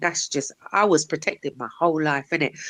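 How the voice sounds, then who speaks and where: A woman speaks with a very deep, low pitch and lively intonation at a moderate pace. The sound is dry and close with no echo, over a quiet background. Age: 40s. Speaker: livestreamer. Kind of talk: casual chat. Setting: live stream.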